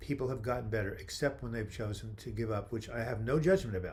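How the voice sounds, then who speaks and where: A man with a somewhat breathy voice at medium pitch talks at a very fast pace. Room echo is audible. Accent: American. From New York. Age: 70s. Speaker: mental health author and livestream host. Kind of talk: live video chat answering viewer questions. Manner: animated.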